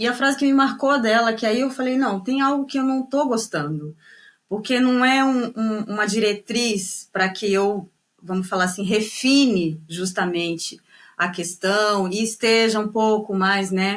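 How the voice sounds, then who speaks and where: In a northeastern Brazilian accent, a woman with a fairly high pitch speaks at a fairly slow pace, with ordinary pitch variation and very even loudness. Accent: Brazilian with northeastern touch. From Brazil, São Paulo state (Guarulhos), northeastern parents. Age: 30s. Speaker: tango singer and dancer. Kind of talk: interview conversation. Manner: hesitant, many fillers and repetitions.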